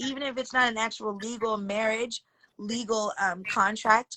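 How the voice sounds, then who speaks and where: A woman's bright, sharp tone at a fairly high pitch and a moderate pace. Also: dry, close sound with no echo. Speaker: astrology livestream host. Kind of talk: casual livestream chat about astrology.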